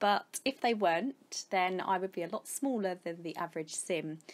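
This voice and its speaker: A woman speaks with an English accent. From England, Kent. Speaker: gaming YouTuber. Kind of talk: casual vlog Q&A.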